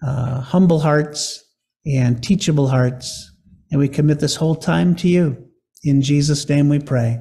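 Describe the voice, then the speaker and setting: Somewhat breathy, a man speaks at a fairly slow pace with very even loudness. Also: ordinary pitch variation. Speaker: pastor. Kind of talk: sermon. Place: church. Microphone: podium.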